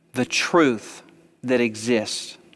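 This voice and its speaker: A man is speaking. Music plays in the background. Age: 40s. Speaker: pastor. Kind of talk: sermon. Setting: church. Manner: animated.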